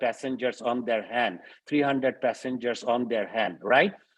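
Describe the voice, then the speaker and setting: Against a quiet background, a man with a plain, everyday voice talks at a moderate pace and medium pitch with ordinary pitch variation. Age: 60s. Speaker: professor. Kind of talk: webinar Q&A.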